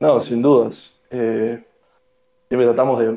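At medium pitch, a man speaks fairly slowly in a monotone, flat delivery with a dark, mellow tone. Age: 20s. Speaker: economics student. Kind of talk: casual chat.

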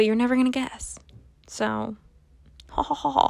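This woman speaks at a high pitch. The recording is very clean, with a silent background. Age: 20s. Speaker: podcast host. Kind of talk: casual monologue. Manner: halting, many filler words.

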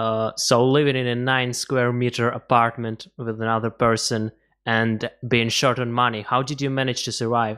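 With a bright, sharp tone, a man talks at a moderate pace in a monotone, flat intonation. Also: medium pitch for a man. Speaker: podcast host. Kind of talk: interview.

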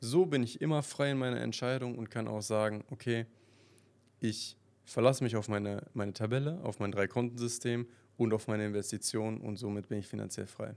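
A man with a plain, everyday voice speaks fairly quickly at a medium pitch, with ordinary pitch variation. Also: very clean recording, silent background. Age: 20s. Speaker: podcast host. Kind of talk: casual monologue.

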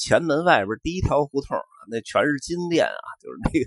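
A man with a Beijing accent speaks at a moderate pace. The sound is dry and close, with no echo. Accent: Beijing Mandarin with erhua. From Beijing, Xuanwumen area. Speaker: podcast host. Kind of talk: casual monologue. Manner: relaxed with many fillers.

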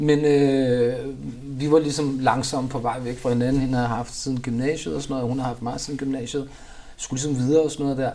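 Amid audible room echo, a man speaks very fast at a medium pitch. His intonation is monotone and flat. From Copenhagen, Denmark. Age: 40s. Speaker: rapper. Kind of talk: interview. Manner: casual, filler-heavy.

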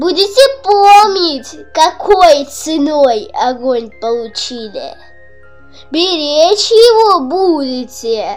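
A woman uses a put-on character voice, high-pitched and full of big pitch swings, at a slow pace. Faint music plays behind her in a room with audible echo. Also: slightly mellow tone.

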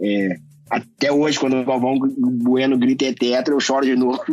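A man speaks at a moderate pace in a plain, everyday voice, medium in pitch with ordinary pitch variation. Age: 40s. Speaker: anti-racism activist. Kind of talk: interview.

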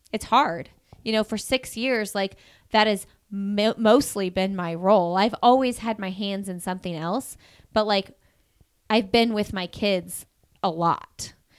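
The recording is very clean, with a silent background. The speaker has a Midwestern US accent and talks at a fairly slow pace with ordinary pitch variation. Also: woman, medium pitch for a woman. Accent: US Midwest. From Indiana, Bloomington. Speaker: podcast host. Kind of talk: casual chat.

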